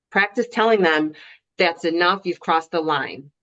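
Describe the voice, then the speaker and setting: Over a quiet background, a woman with a fairly low pitch talks at a moderate pace with ordinary pitch variation. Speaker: soccer referee. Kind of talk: video call panel. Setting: video call.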